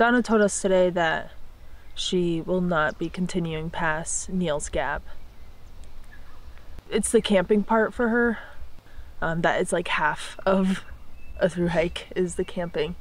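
A woman at a fairly slow pace with long, frequent pauses and ordinary pitch variation, in a dry sound with no echo. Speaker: hiker vlogger. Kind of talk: casual vlog chat. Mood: worried, reflective. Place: forest. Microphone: phone near.

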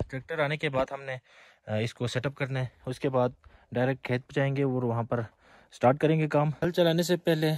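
A man's slightly mellow voice at a fairly quick pace, with fairly even intonation.

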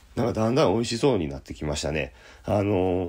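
The recording of this fairly low-pitched man is very clean, with a silent background. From Osaka, Japan. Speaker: jazz pianist. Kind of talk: casual radio-style talk show.

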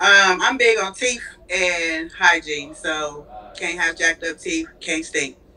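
A woman talks at a very slow pace. Her pitch is fairly low. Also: ordinary pitch variation. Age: 30s. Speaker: caller. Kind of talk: casual chat. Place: home room. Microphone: video call.

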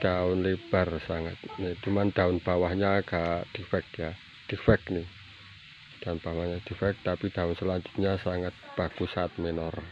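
Over light background noise, a man with a very deep, low pitch talks at a fairly slow pace in a monotone, flat way, the sound dry with no echo. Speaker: plant seller. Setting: filming at home garden, showing plants to camera. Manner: repeats prices and phrases twice for emphasis. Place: garden. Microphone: phone near.

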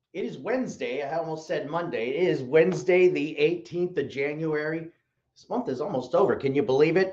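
A man's voice with big swings in loudness, over light background noise. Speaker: online shop show host. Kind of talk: casual livestream host chat. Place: studio.

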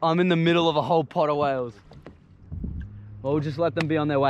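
Over light background noise, a man talks at a very fast pace, the sound dry with no echo. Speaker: vlogger. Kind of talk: casual vlog chat. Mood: excited, awed. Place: boat. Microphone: phone near.

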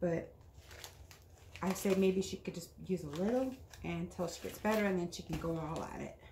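At a moderate pace, the speech carries audible room echo and light background noise. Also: woman. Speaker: craft vlogger. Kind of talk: casual haul video chat. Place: home room. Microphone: camera far.

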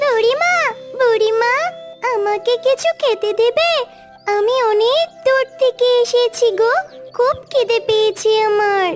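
Over clear background music, a cartoonish character voice at an extremely high pitch speaks at a very slow pace. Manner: polite, gentle.

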